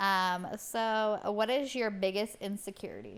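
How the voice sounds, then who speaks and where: A woman at a very slow pace. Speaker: podcast co-host. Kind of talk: casual chat.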